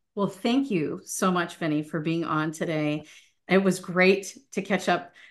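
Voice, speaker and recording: A woman speaks in a plain, everyday voice with an American accent, fairly low in pitch, at a fairly slow pace with ordinary pitch variation over a quiet background. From US, Italian American family. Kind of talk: casual interview chat.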